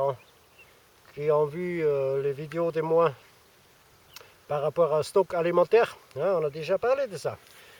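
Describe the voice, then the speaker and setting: A man speaks at a moderate pace in an Austrian accent, his pitch fairly high with ordinary variation. The sound is dry and close, with no echo. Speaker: survivalism youtuber. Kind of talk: casual vlog. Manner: hesitant, many fillers.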